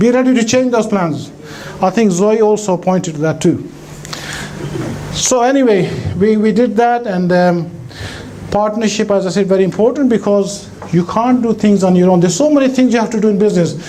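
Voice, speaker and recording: Amid noticeable background noise and audible room echo, a man with a high pitch and an animated tone talks at a fairly quick pace, his pitch varying in an ordinary way, his loudness very even, and his pauses long and frequent. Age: 60s. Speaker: businessman. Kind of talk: keynote speech. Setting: stage with audience. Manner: conversational, animated.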